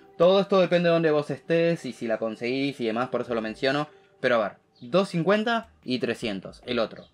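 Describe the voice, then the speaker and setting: A man with a Rioplatense accent swings his pitch very widely while faint music plays in the background. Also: moderate pace. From Argentina. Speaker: tech YouTuber. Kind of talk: tech news commentary to camera. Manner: casual, many fillers. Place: home room.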